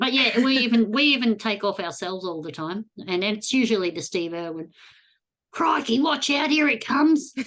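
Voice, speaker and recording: In an Australian accent, a woman talks at a moderate pace in a fairly high pitch with very wide pitch swings. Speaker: podcast host, geocacher. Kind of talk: casual interview chat.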